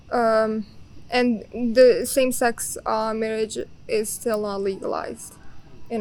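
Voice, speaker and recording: Monotone and flat, a woman speaks at a fairly high pitch with a Bosnian accent. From Bosnia and Herzegovina. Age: young. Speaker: exchange student. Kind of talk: casual interview.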